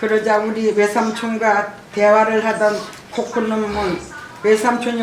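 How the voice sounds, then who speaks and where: With noticeable background noise, a woman talks at a fairly slow pace. Her fairly high voice stays monotone and flat. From Jeju, South Korea. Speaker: massacre survivor and bereaved family association president. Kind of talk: testimony speech at a symposium.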